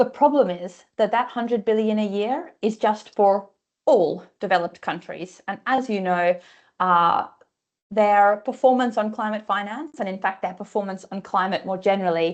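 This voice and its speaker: A woman with an Australian accent is heard against a quiet background. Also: medium pitch for a woman, ordinary pitch variation, moderate pace. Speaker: climate finance researcher. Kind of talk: webinar presentation.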